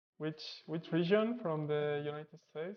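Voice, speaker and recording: With a Spanish accent, this voice moves at a moderate pace. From Spain. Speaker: programming streamer. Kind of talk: live coding stream tutorial. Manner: casual, thinking aloud.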